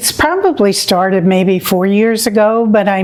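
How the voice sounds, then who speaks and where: A woman speaks with an American accent in a monotone, flat delivery. Noticeable background noise runs under her voice. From New York City (Queens). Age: 70s. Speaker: patient. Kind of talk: testimony.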